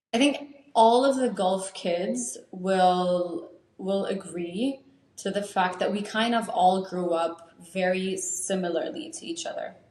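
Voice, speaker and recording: The voice moves at a very slow pace with lively intonation, and audible room echo surrounds it. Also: woman, medium pitch for a woman. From Saudi Arabia, Lebanese-American family. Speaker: podcast co-host. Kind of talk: casual chat.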